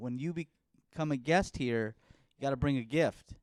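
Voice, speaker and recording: Music plays in the background as the speaker goes at a fairly slow pace with ordinary pitch variation. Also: man. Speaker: podcast host and comedian. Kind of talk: casual chat. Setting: home studio podcast set. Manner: loud.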